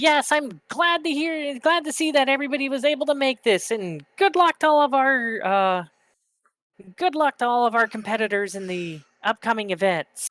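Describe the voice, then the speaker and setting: In a put-on character voice, a high, squeaky, female-sounding voice speaks at a moderate pace on a very clean recording with a silent background. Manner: friendly, formal.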